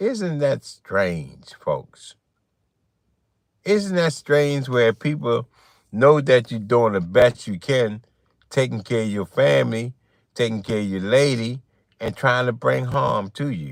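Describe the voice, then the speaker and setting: Recorded very cleanly with a silent background, a man of medium pitch speaks at a very slow pace with lively intonation and long, frequent pauses. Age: 60s. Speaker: livestreamer. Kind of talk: livestream monologue. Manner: animated.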